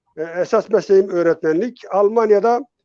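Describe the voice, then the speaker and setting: With a dark, mellow tone, a man speaks high-pitched at a moderate pace, with ordinary pitch variation and a dry, close sound with no echo. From Turkey, Dersim (Tunceli). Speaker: retired psychotherapist and teacher. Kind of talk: interview. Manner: halting.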